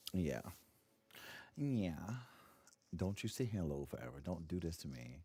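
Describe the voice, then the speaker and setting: Quiet and dark, mellow in tone, a man speaks with a very deep, low pitch, very wide pitch swings and long, frequent pauses. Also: moderate pace. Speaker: gaming streamer. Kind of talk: casual live stream chat. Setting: home, early morning stream. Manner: quiet, hushed.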